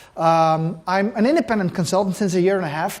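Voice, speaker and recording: A man with a Dutch accent talks at a fairly quick pace. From Netherlands. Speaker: conference keynote speaker. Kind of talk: keynote talk. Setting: stage with audience. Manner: fast; high-speed.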